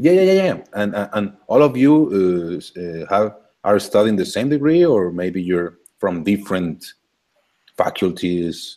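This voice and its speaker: A man's fairly low voice in a Spanish accent, dark and mellow in tone, with lively intonation at a fairly slow pace. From Colombia, Cali. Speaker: university lecturer. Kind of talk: casual video call. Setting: video call. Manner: halting.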